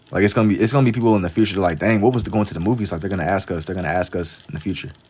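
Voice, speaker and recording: A man with a New York accent, very deep and low in pitch, talking at a very fast pace with ordinary pitch variation over noticeable background noise. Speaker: live-streaming artist. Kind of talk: casual livestream chat while drawing. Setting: TikTok live stream.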